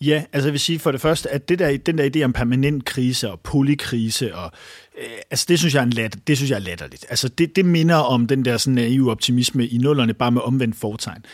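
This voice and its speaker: The speech moves at a fairly quick pace with ordinary pitch variation. It is a very clean recording with a silent background. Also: man, medium pitch for a man. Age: 30s. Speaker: journalist and author. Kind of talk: interview. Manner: halting.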